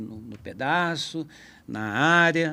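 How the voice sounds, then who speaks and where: There is a bright, sharp tone to this man's voice, with ordinary pitch variation. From Brazil, São Paulo state interior. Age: 60s. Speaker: guitarist. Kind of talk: podcast conversation. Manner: casual, halting.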